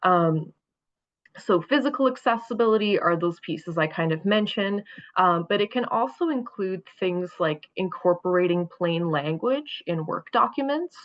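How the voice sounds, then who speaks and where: A woman with a plain, everyday voice talks at medium pitch and a moderate pace with lively intonation. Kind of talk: presentation.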